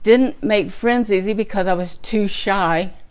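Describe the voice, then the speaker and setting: Speaking with an American accent, a woman has a medium-pitched voice. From Texas (Slaton). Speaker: twelve-step program speaker. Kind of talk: testimony.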